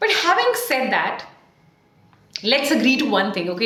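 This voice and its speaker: Room echo can be heard. The woman keeps to a moderate pace. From India. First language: Hindi or Punjabi. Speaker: communication coach; English speaking coach. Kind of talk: tutorial. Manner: exaggerated mouth movements. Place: home room.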